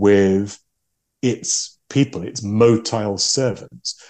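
A man's fairly slow speech in an English accent, fairly low in pitch with ordinary variation and a dark, mellow tone. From England. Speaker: game designer and novelist. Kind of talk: interview.

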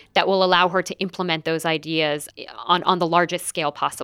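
In a plain, everyday voice with an American accent, a woman speaks at a moderate pace and fairly low pitch, the recording very clean and silent behind her, dry and close with no echo. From United States. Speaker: English professor and author. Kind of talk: interview conversation.

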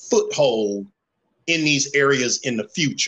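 A man speaks very slowly with a Southern US accent. His pitch is fairly high and his tone bright and sharp. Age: 50s. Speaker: plumber and community mentor. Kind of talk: casual chat.

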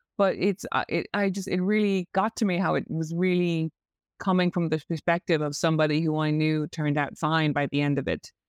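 Against a quiet background, a woman with an Irish accent speaks at a fairly quick pace with fairly low pitch, fairly even intonation, very even loudness and a dry, close sound with no echo. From Ireland, Cork. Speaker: novelist. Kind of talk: interview. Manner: halting.

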